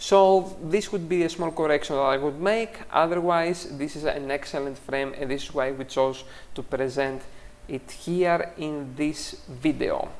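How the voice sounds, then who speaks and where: This speaker has a non-native accent. The pace is fairly slow. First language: not English. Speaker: photography teacher and critique show host. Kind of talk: tutorial. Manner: hesitant, frequent fillers.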